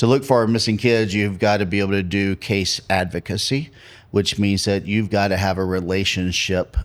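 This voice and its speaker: Very deep and low, a man's voice carries an American accent with fairly even intonation. The recording is very clean with a silent background. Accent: North Carolina accent, comes out at times. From North Carolina. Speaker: pastor and search and rescue leader. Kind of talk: podcast interview.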